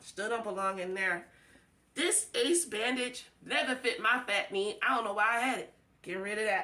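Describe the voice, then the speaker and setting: A woman speaks at a moderate pace in a fairly high pitch, her tone animated with ordinary pitch variation. Noticeable noise sits in the background. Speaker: home organizing vlogger. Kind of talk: casual tutorial. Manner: loud.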